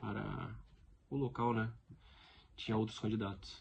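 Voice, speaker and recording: Somewhat breathy speech from a man, fairly low in pitch, with fairly even intonation. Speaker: stuttering advocate vlogger. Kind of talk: personal testimony vlog. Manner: repetitions and blocks.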